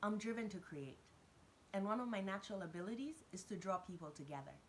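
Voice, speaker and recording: A somewhat breathy woman at medium pitch, with lively intonation and a fairly quick pace. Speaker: business coach for entrepreneurs. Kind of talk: motivational talk to camera. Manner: fast.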